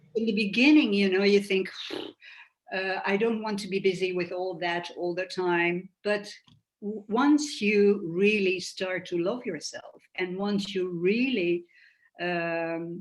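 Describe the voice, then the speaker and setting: A woman speaks at a very slow pace, her medium pitch moving with ordinary variation. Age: 60s. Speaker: cancer patient sharing her story. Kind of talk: interview. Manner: halting.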